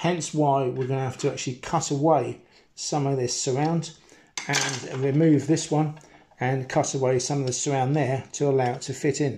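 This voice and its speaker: A man's dark, mellow voice, somewhat breathy, at a moderate pace, in a flat monotone. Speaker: hobbyist radio repairer. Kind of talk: tutorial. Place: kitchen. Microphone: phone near.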